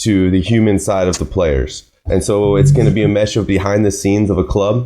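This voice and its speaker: This man has an American accent, a fairly low pitch and a dark, mellow tone, speaking at a moderate pace with ordinary pitch variation. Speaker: podcast host. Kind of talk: casual chat.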